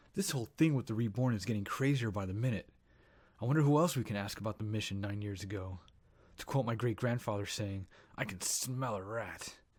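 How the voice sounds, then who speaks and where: On a very clean recording with a silent background, a man with a fairly low pitch speaks at a fairly quick pace with ordinary pitch variation. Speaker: voice actor playing the main character in a sci-fi audio drama. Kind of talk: audio drama dialogue. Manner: soft-spoken.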